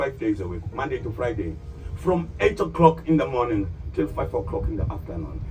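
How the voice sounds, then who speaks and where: A man's pitch rises and falls across a very wide range, with music in the background. His words come fairly quickly. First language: not English. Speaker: tour guide. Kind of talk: guided tour commentary. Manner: addresses group directly, animated.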